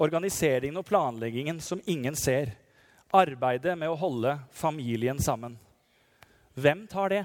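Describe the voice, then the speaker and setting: Here a man talks fairly slowly at a fairly high pitch, with an ordinary speaking voice. The recording is very clean, with a silent background. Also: lively intonation. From Norway, Telemark (Nissedal). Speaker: parish priest. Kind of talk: sermon.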